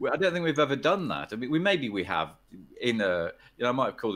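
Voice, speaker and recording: A man with an English accent is heard in a very clean recording with a silent background. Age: 60s. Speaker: poker player and poker executive. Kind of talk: podcast interview. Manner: hesitant, many repetitions.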